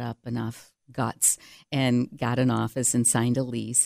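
A woman with an American accent and a very deep, low pitch, fairly slow and monotone, in a dry, close sound with no echo. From upstate New York (Cheshire). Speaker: marketing agency CEO, former TV personality. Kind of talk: interview.

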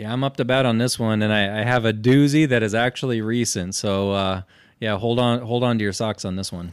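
A man speaks in a normal speaking voice with an American accent, at medium pitch. His intonation stays fairly even and his pace is fairly quick. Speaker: podcast co-host. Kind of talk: casual chat.

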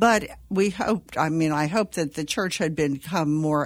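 In an American accent, a woman speaks with a very deep, low pitch and ordinary pitch variation. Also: very clean recording, silent background. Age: 70s. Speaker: Benedictine nun. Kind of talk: panel interview, casual chat.

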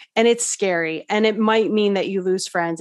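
Against a quiet background, a woman with a normal speaking voice talks at a moderate pace with fairly even intonation. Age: 40s. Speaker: wellness coach and EFT practitioner. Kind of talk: interview.

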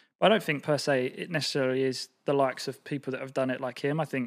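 This man has an ordinary speaking voice at a medium pitch, with fairly even intonation. The sound is dry and close, with no echo. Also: very clean recording, silent background. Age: 30s. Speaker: marketing entrepreneur. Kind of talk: casual chat.

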